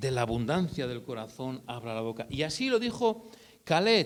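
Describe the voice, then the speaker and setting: The voice belongs to a man. It leaps between very high and very low notes. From northern Spain (Basque Country, Eibar) and Burgos. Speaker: lay preacher. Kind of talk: sermon. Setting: church meeting. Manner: halting, repeats words.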